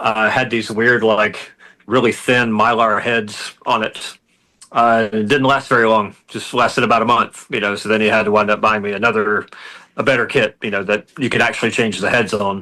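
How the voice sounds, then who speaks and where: A man's bright, sharp voice at medium pitch, with an American accent, a moderate pace and monotone, flat intonation. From US South, rural North Carolina. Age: 50s. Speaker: doom metal musician. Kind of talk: casual interview chat.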